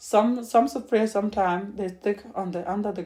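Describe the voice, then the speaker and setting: In a dark, mellow tone and with a non-native accent, a woman speaks at a moderate pace with fairly even intonation. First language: not English. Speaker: home cook. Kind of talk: cooking tutorial. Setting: home kitchen. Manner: halting.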